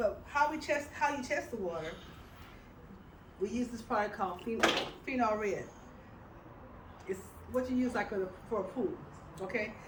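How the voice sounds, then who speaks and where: With lively intonation and a fairly high pitch, a woman talks amid noticeable background noise and audible room echo. Her speech has long, frequent pauses. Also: moderate pace. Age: 70s. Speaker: health product presenter. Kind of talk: testimony. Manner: halting.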